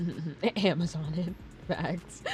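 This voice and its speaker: Music in the background behind a woman with an American accent. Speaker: streamer. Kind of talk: casual chat.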